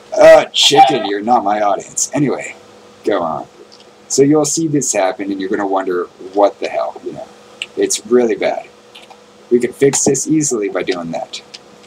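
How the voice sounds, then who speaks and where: With noticeable background noise, the speech moves at a moderate pace, broken by long, frequent pauses. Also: man. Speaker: gaming youtuber. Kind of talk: tutorial. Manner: animated.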